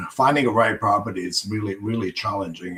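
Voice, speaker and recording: This man speaks at a fairly low pitch with ordinary pitch variation. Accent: Croatian. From Croatia. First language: Croatian. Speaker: farmer. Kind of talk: interview.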